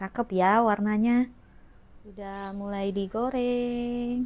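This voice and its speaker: Here a woman speaks at a very slow pace. Her pitch is medium and her tone is dark and mellow. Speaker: home cooking vlogger. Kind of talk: cooking tutorial. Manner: casual, halting.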